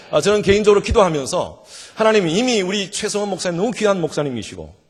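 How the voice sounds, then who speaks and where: This man talks with a Gyeongsang accent, a high pitch and lively intonation. The recording is very clean, with a silent background. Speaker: revival guest preacher. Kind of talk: sermon. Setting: church. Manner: animated.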